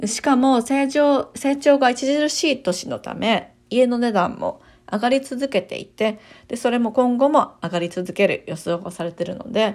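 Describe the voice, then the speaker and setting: Speaking at a moderate pace, a woman with an ordinary speaking voice uses lively intonation at a fairly high pitch. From Japan, Kyoto. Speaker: realtor and channel host. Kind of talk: informational monologue.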